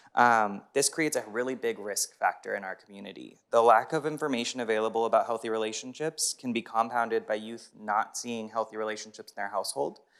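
On a very clean recording with a silent background, a man races along very fast with hardly any pauses and ordinary pitch variation. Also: medium pitch for a man. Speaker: victim services supervisor, public commenter. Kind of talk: public comment at council meeting. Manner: many filler ums.

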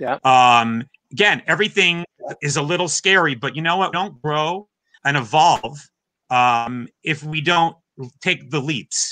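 Against a quiet background, a man speaks fairly slowly at a fairly high pitch, with ordinary pitch variation. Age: 50s. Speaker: drummer and drum teacher; drum teacher. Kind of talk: interview. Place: home room.

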